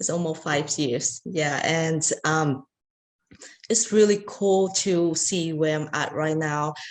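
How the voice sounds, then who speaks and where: Speaking with a non-native accent, a woman uses a very deep, low pitch, fairly even intonation and a fairly slow pace. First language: not English. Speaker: content creator. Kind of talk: panel discussion. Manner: halting.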